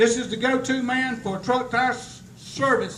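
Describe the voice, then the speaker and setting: A man speaks at an extremely high pitch in a monotone, flat intonation. Audible room echo and noticeable background noise surround him. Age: 70s. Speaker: company owner presenting awards. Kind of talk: award ceremony speech.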